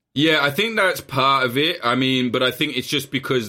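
A man speaks with an English accent at a fairly quick pace. The recording is very clean, with a silent background. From England. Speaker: journalist. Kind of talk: casual chat.

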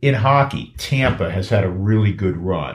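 Somewhat breathy, a man speaks at a fairly low pitch and a fairly slow pace. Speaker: podcast host. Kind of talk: casual sports talk podcast.

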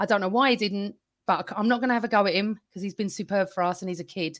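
A woman with an English accent is heard in a very clean recording with a silent background. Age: 50s. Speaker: football podcaster. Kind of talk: casual chat.

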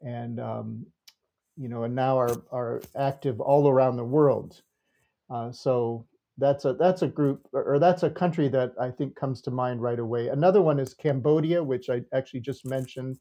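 A man with an American accent, medium pitch, fairly even intonation and a moderate pace. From Minnesota, US Upper Midwest. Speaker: professor of global Christianity. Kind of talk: interview conversation. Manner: halting, many fillers and repetitions.

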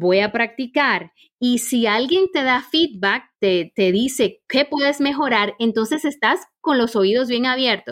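Speech comes at a very slow pace with hardly any pauses and lively intonation. Loudness stays very even, on a very clean recording with a silent background. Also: woman, high pitch for a woman. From Caribbean. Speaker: corporate trainer and coach. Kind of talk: interview.

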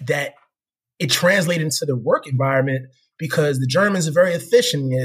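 This man with an American accent sounds somewhat breathy and talks at a fairly quick pace. His pitch is fairly high, with ordinary pitch variation. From US Northeast (Philadelphia, New Jersey). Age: 30s. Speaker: corporate professional. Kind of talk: interview.

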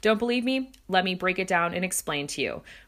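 A woman speaks in an animated tone that is bright and sharp, with ordinary pitch variation. The recording is very clean, with a silent background. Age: 30s. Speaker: podcast host. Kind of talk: casual interview chat.

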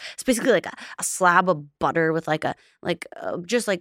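Very fast speech comes from a woman with a fairly low pitch. The sound is dry and close with no echo, in a very clean recording with a silent background. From Alberta, Canada. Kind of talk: casual chat.

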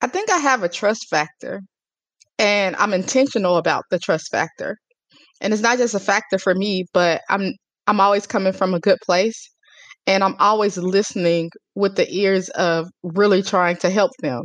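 In a dry, close recording with no echo, a woman with an American accent and a normal speaking voice talks at a medium pitch and moderate pace, with ordinary pitch variation and very even loudness. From US small town. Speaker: publicist. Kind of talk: interview.

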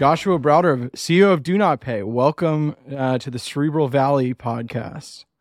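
A man speaks in a plain, everyday voice, fairly high in pitch, with ordinary pitch variation, at a moderate pace, and with hardly any pauses. The recording is very clean with a silent background, dry and close with no echo. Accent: American. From US South, Georgia. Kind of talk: casual chat.

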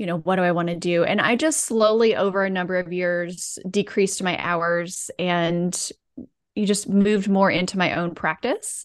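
An ordinary speaking voice from a woman with an American accent, medium pitch, fairly even intonation, moderate pace and a quiet background. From US South (rural Alabama and Georgia). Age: 40s. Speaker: physical therapist and wellness coach. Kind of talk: podcast interview.

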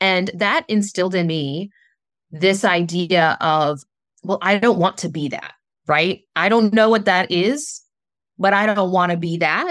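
A woman with an American accent speaks in a normal speaking voice at a medium pitch, with ordinary pitch variation. Her pace is fairly slow, and the recording is very clean with a silent background. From US South, southern West Virginia. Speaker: spiritual coach. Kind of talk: interview.

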